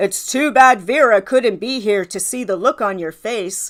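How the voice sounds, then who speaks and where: This is a put-on character voice with big swings in loudness. Its pitch varies in an ordinary way. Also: woman, fairly high pitch for a woman, moderate pace. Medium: read story. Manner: smooth, confiding.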